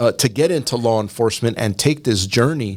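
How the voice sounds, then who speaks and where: A man speaks at a medium pitch and a fairly quick pace, with lively intonation. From East Los Angeles. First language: Spanish. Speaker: county sheriff. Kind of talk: podcast interview. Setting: office, around a table.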